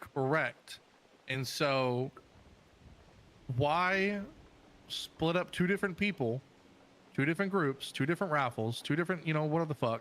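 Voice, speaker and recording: Loudness stays very even at a moderate pace, with ordinary pitch variation. Long pauses come often. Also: man, fairly high pitch for a man. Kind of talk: casual chat.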